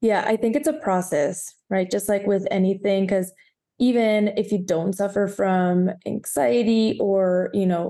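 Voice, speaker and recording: A woman's dark, mellow voice with a Spanish accent, medium pitch and ordinary pitch variation. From Guatemala. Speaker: podcast host. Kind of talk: casual interview.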